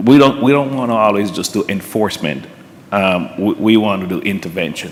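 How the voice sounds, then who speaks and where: A man speaks in a Jamaican accent with a fairly low pitch and ordinary pitch variation. Noticeable background noise is present. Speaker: police officer. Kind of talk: panel discussion. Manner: halting, many repetitions.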